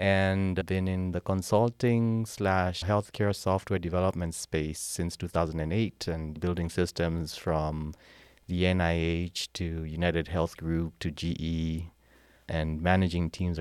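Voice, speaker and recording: A man with a Kenyan accent speaks at a fairly slow pace in a very deep, low pitch. The very clean recording has a silent background and a dry, close sound with no echo. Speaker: military veteran and healthcare software consultant. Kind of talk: casual interview. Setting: at a historic site, in person. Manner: energetic.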